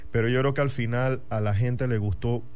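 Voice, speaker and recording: A man speaks with a dark, mellow tone at a moderate pace. His intonation is fairly even. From Panama, Chiriquí (David). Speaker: football fan club member. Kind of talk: casual radio chat. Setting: radio studio.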